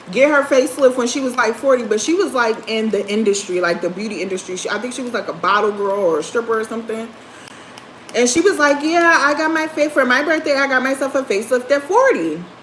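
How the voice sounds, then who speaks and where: Over noticeable background noise, a woman with a high pitch talks at a very fast pace with lively intonation. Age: 30s. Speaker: livestreamer. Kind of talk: casual chat. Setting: livestream.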